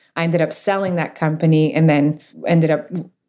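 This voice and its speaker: The speaker has a French Canadian accent. The recording is very clean, with a silent background. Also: woman. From Quebec, Canada. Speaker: startup founder and CEO. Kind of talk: interview conversation about business.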